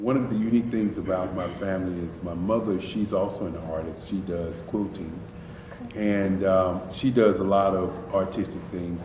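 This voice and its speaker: Moderate pace and fairly even intonation in an American accent, with noticeable background noise and audible room echo. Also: man. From North Carolina (Durham). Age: 50s. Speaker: artist. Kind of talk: recorded interview.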